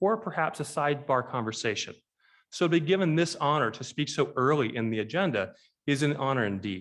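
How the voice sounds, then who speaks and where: A man's fairly high voice with very wide pitch swings at a fairly quick pace, on a very clean recording with a silent background. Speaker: keynote speaker. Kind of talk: speech. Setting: conference stage with audience. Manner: fast.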